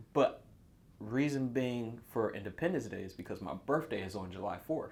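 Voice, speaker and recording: A man's normal speaking voice of medium pitch with an American accent, at a moderate pace, with lively intonation and big swings in loudness. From North Carolina. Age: 30s. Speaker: small business owner. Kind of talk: casual chat.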